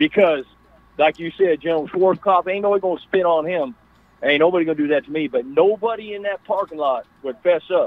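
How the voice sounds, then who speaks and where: A man with a high voice speaks at a fairly quick pace, his pitch varying in an ordinary way. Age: 60s. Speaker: caller, army veteran. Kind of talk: phone-in call.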